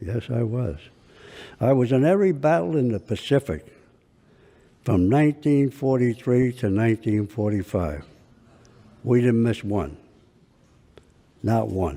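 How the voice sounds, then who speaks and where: A man's dark, mellow voice at a medium pitch, lively in intonation, at a fairly slow pace with long, frequent pauses, on a very clean recording with a silent background. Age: 80s+. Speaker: war veteran. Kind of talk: courtroom testimony. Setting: courtroom.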